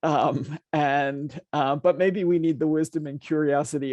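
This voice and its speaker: A normal speaking voice at a moderate pace, with fairly even intonation. The sound is dry and close with no echo. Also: man. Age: 60s. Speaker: nonprofit founder and CEO. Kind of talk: panel conversation. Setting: stage with audience.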